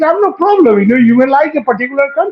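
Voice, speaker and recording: A man's extremely high-pitched voice with lively intonation and a Bengali accent. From West Bengal, India. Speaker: panelist. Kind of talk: panel discussion. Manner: animated.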